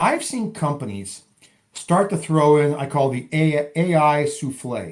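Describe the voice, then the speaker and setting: Lively intonation marks a man's voice, which sits at a fairly high pitch. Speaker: podcast host. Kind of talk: interview. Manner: fast.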